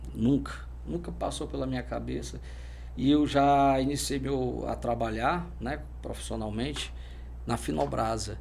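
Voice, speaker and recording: A man's very deep, low pitch in monotone, flat intonation, with long, frequent pauses and audible room echo. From Brazil, Fortaleza, Ceará. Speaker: military police officer. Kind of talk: interview. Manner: halting.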